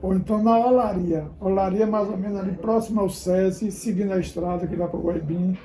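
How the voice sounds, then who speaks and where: Talking at a fairly quick pace over noticeable background noise, a man speaks with a high pitch. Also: fairly even intonation, hardly any pauses. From Bahia, Brazil (Valença). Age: 70s. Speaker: local elder interviewee. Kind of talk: interview testimony.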